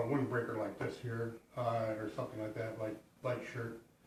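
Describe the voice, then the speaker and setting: A man is speaking. There is audible echo in the room. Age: 60s. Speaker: hiker. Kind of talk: gear tutorial. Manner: halting, many fillers; casual.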